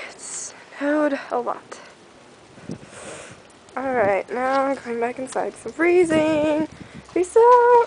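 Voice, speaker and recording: A woman's high-pitched voice at a very slow pace, with noticeable background noise. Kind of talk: casual talk to camera.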